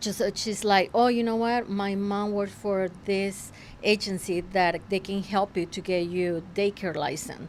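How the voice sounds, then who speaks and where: A woman speaks with a Spanish accent. She goes at a fairly slow pace. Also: medium pitch for a woman, fairly even intonation. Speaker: realtor and entrepreneur. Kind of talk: interview. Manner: halting.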